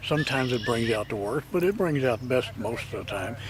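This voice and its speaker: Against noticeable background noise, a man talks at a very fast pace with a medium pitch and lively intonation. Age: 70s. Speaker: retired golfer. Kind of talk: interview.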